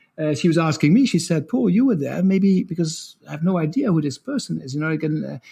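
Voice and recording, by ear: Fast and lively, a man's fairly high voice has a dark, mellow tone, vocal fry and a slightly husky edge.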